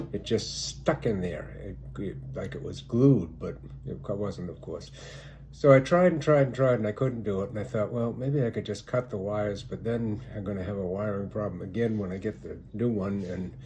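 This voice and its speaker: A man's voice sits at a fairly low pitch with a dark, mellow tone and vocal fry. He moves at a moderate pace with very wide pitch swings. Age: 70s. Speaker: video blogger. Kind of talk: personal anecdote monologue. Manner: casual, halting with repetitions.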